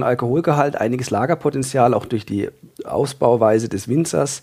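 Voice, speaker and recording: A man's dark, mellow tone comes through at a fairly quick pace, his pitch variation ordinary. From Freiburg, southern Germany. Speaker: trained winemaker and wine enthusiast. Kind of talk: casual expert interview.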